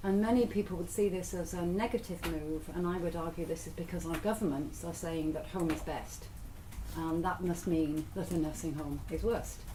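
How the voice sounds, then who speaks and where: With audible room echo and noticeable background noise, a woman speaks at a moderate pace in a fairly low pitch with fairly even intonation. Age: 60s. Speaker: lecturer on ageing and care. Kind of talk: lecture. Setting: workshop with audience. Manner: conversational.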